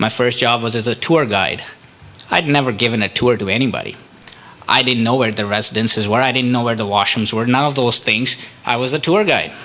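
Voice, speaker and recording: Through noticeable background noise, a man with an Indian accent speaks at a fairly quick pace, with medium pitch and fairly even intonation. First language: Indian language. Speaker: economic development officer, immigrant speaker. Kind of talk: public talk. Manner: halting, many fillers.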